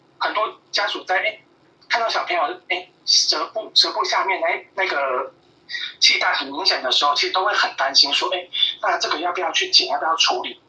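Noticeable background noise is present throughout. The delivery moves fairly quickly. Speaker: pediatrician. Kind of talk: interview. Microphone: clear phone line.

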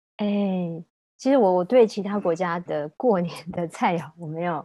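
In an ordinary speaking voice, the woman's delivery holds a medium pitch and a moderate pace. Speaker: food journalist and former magazine editor. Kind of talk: casual interview chat.

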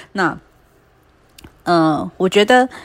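Lively intonation colors the medium-pitched voice of a woman. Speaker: podcast host. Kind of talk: solo casual podcast monologue. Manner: hesitant, many fillers.

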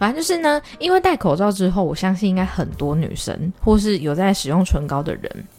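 Fairly quick delivery with hardly any pauses, music playing in the background. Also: woman. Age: 20s. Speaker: podcast host. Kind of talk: casual monologue. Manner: fast.

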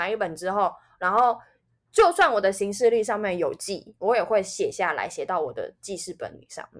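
A woman with a plain, everyday voice speaks at a fairly quick pace in a medium pitch, with lively intonation. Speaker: podcast co-host. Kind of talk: casual chat.

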